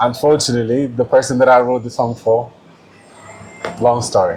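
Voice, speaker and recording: Medium pitch from a man at a moderate pace, with noticeable background noise. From South Sudan. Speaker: musician. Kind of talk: interview.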